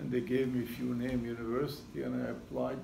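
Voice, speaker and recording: A man with a Syrian accent speaks, and room echo can be heard. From Syria, Damascus. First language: Arabic. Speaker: retired seismology professor. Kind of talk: talk to audience.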